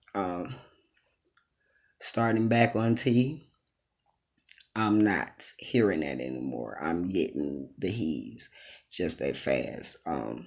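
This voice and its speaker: A man's very deep, low voice with vocal fry, very wide pitch swings, a very slow pace and long, frequent pauses. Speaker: transgender vlogger. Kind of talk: casual vlog monologue. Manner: casual, hesitant with many ums.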